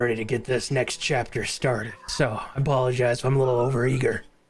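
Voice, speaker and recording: A man speaks at a very fast pace in a raspy, put-on character voice at a medium pitch. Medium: actual play. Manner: upbeat, eager.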